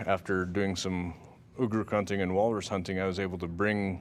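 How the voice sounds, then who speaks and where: The recording is very clean and the background silent. Speech proceeds at a moderate pace. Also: man. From Alaska, Norton Sound region. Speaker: teacher and subsistence hunter. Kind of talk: recorded interview.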